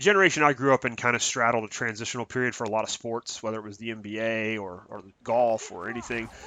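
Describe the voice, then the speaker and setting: A man's medium-pitched voice moves at a very fast pace. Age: 30s. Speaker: gaming YouTuber. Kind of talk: casual video commentary. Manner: halting, many fillers.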